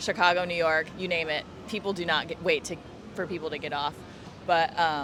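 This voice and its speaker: Music plays in the background as a woman with an American accent talks at a fairly quick pace in a fairly low pitch, using monotone, flat intonation and long, frequent pauses. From US with Japanese mother, summers in Japan. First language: Japanese. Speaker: flight attendant. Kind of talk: casual chat.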